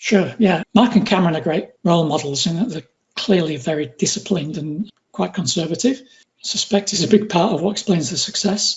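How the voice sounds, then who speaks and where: The voice has a northwest English accent. The pace is fairly quick. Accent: northwest English accent, noticeable. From northwest England. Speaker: retail trader. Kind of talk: interview.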